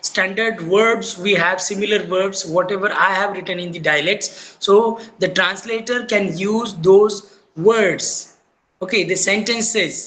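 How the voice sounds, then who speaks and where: The speaker uses a Marathi accent and a fairly slow pace. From India, Maharashtra. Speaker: teacher. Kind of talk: lecture. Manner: halting, with many fillers.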